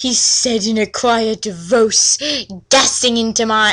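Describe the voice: Plain reading aloud makes up this recording.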